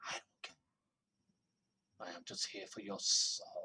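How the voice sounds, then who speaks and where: A put-on character voice, husky, delivered at a very slow pace. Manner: menacing.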